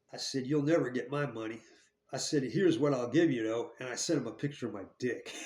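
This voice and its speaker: A man with an American accent, a medium pitch and ordinary pitch variation, at a moderate pace, with audible room echo. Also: long, frequent pauses, big swings in loudness. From New Jersey, US. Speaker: ex-convict storyteller. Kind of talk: casual storytelling monologue. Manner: halting, repetitive.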